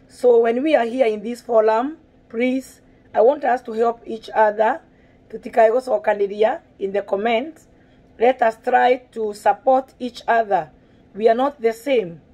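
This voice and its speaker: In a Kenyan accent, a woman speaks at a fairly slow pace with a fairly high pitch, ordinary pitch variation and a dark, mellow tone. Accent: Kenyan (Kikuyu) English. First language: Kikuyu. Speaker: parenting vlogger. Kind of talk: video monologue.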